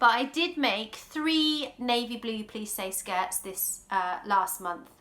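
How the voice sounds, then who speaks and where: Bright and sharp in tone, a woman with an English accent speaks at a fairly high pitch with lively intonation. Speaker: sewing vlogger. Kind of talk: casual vlog talk. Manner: loud.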